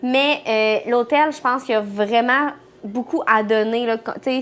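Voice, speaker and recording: A woman's fairly high voice in a Quebec accent. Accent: Québécois French. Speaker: travel vlogger. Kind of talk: casual chat.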